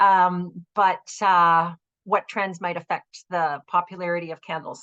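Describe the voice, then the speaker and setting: Against a quiet background, a woman speaks in a normal speaking voice at a fairly slow pace. Her pitch is fairly low and her intonation fairly even. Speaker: business advisor / webinar presenter. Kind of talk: webinar presentation. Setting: web conference.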